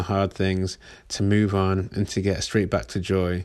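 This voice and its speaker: Fairly slow speech with an English accent in a very clean recording with a silent background. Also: man. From England. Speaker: podcast host. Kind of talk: casual monologue.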